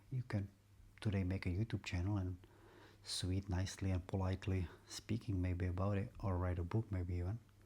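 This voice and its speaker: A man's very deep, low voice with a dark, mellow tone, somewhat breathy, in a Czech accent, at a fairly quick pace, with monotone, flat intonation and very even loudness, on a very clean recording with a silent background. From Czech Republic. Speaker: vlogger. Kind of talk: casual monologue vlog. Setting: at home, aquarium bubbling. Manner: halting, repeats words.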